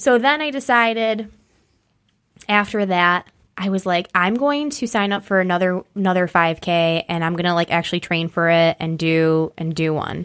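On a very clean recording with a silent background, a woman with an American accent speaks at a moderate pace with lively intonation. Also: medium pitch for a woman. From western New York (near Batavia). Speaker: amateur runner. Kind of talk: casual chat. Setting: studio.

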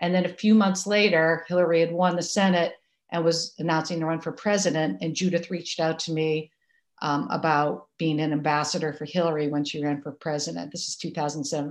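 With an American accent, a woman has an ordinary speaking voice, fairly low in pitch, with fairly even intonation at a fairly quick pace. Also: quiet background. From Massachusetts. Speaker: activist and writer. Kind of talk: interview.

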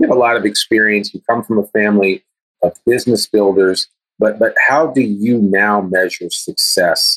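A man's plain, everyday voice with an American accent, fairly low in pitch, at a moderate pace with fairly even intonation and very even loudness, in a dry, close sound with no echo. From US. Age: 50s. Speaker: guest interviewer, podcast host. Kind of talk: interview.

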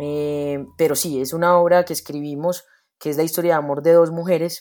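A woman speaks in a Medellín accent. Her pitch is fairly low and her tone dark and mellow. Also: very clean recording, silent background. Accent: Medellín (paisa) accent, noticeable. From Medellín, Colombia. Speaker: theater actress and director. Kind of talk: interview.

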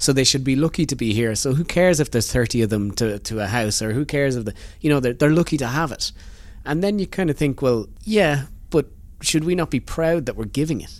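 A man with an Irish accent, fairly high in pitch, talking at a very fast pace with lively intonation. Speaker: podcast host. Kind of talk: interview conversation. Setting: hotel room recording.

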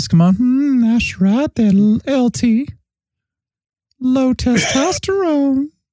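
A female-sounding voice takes on a high-pitched, put-on character, moving at a very slow pace with long, frequent pauses.

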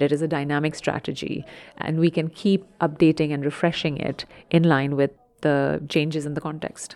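A woman speaks with a very deep, low pitch and a dark, mellow tone. Her intonation is monotone and flat. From India. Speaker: health service workforce executive. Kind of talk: interview.

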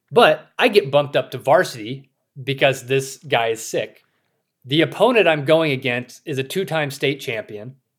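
An ordinary speaking voice from a man, fairly high-pitched, with an American accent. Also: ordinary pitch variation, moderate pace. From US South, rural South Carolina. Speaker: author and former AI expert turned hunter. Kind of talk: interview. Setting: remote recording.

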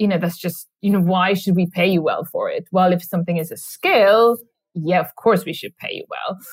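A woman with a Swedish accent at a fairly quick pace, on a very clean recording with a silent background. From Sweden. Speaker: author. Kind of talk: interview. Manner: halting.

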